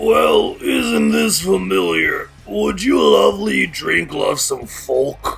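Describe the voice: Very slowly, someone speaks in a put-on character voice. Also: man.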